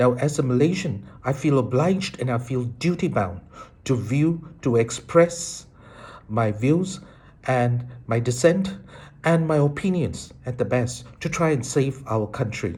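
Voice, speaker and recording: With lively intonation, a man speaks at a fairly slow pace in a somewhat breathy voice. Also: medium pitch for a man. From Malaysia. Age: 60s. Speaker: citizen commentator. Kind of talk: political monologue.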